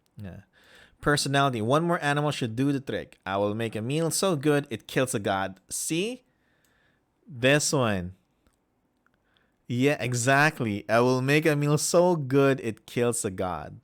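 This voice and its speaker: In a very clean recording with a silent background, a man with a Filipino accent speaks at a fairly slow pace and medium pitch, with lively intonation and long, frequent pauses. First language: Filipino language. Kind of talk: reading aloud with commentary. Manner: halting.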